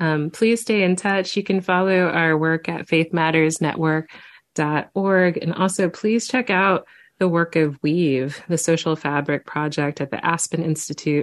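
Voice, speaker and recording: This is a normal speaking voice at a fairly slow pace, with ordinary pitch variation, very even loudness and a quiet background. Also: woman, fairly low pitch for a woman. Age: 30s. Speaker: minister and nonprofit founder. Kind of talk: interview conversation.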